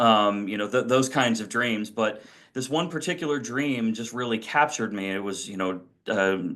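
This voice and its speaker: A man with an American accent, bright and sharp in tone, at medium pitch and moderate pace, ordinary pitch variation, quiet background. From Washington, D.C. area, US. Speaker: author. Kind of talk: interview. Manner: halting, many fillers.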